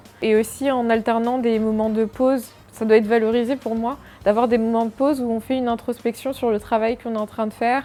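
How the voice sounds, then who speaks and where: A woman with a fairly high pitch speaks at a fairly quick pace. Her intonation is monotone and flat, with noticeable background noise behind her. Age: 20s. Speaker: freelance product designer. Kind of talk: interview answers. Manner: hesitant, many fillers.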